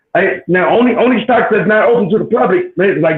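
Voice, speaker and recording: A high-pitched man at a very fast pace with lively intonation. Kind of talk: casual chat. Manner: halting.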